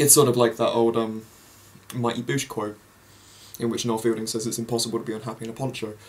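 With an English accent, a man speaks in a flat, monotone way. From England. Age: young. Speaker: vlogger. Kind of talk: casual monologue; casual vlog chat. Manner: rambling, halting. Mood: cheerful, relaxed. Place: home room. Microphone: webcam.

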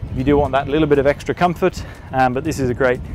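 Fairly even intonation from a man, dry sound with no echo, music in the background. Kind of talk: product walkthrough. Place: boat.

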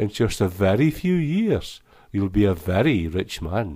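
A man with a Shetland accent speaks at a very slow pace with very wide pitch swings. The recording is very clean, with a silent background. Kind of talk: poetry reading.

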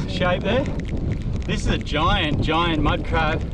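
Over loud background noise, a man speaks at a moderate pace in a dry sound with no echo. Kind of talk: casual outdoor commentary. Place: beach.

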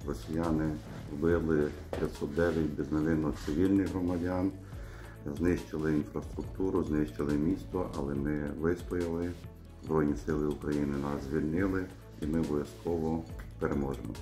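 A man with a very deep, low pitch and ordinary pitch variation talks at a moderate pace, taking long, frequent pauses, while clear music plays in the background. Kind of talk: interview answer. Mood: serious, measured. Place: office. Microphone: phone near.

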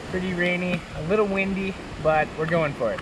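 Over clear background noise, a man speaks at a moderate pace in a high pitch with fairly even intonation.

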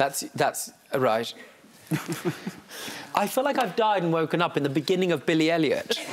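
Against light background noise, a man speaks with lively intonation at a high pitch. His pace is moderate, broken by long, frequent pauses. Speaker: TV judge. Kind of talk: courtroom TV show questioning. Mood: wry, exasperated, playful. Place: studio.

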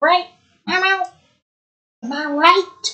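A woman performs a put-on character voice. Her pitch is extremely high, and her voice sounds strained. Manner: strained, clenched throat.

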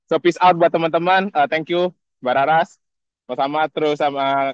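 Recorded dry and close, a man's voice carries no echo at all. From Indonesia. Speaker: scholarship alumnus. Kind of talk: casual greeting message. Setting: outdoors video call. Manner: animated.

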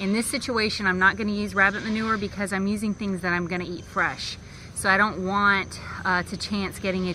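Over light background noise, a woman talks at a fairly quick pace in a monotone, flat delivery. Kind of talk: tutorial. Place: garden.

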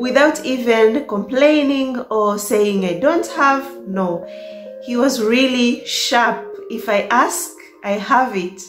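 Against faint background music and audible room echo, a woman speaks at a very slow pace in a high pitch. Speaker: vlogger. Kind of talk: casual storytime vlog chat. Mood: cheerful, laughing often. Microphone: phone near.

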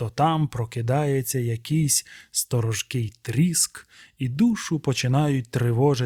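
A passage is read aloud plainly. Its pitch rises and falls in an ordinary way.

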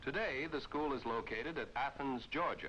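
A man's voice with vocal fry. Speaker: film narrator. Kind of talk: 1950s navy training film narration, scripted and stately. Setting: archive film soundtrack. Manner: formal, brisk and authoritative, with a crisp newsreel-style delivery; declamatory and even, with rhythmic emphatic phrasing.

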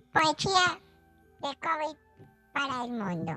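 Over faint background music, a man puts on a playful character voice, raised and projected, at a fairly slow pace. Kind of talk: radio comedy sketch. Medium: role play. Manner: childish, playful.

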